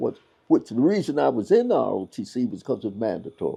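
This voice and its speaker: A man with a Kentucky accent at a moderate pace. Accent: Southern US (Kentucky). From Louisville, Kentucky. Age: 80s+. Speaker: pastor. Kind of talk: interview answer.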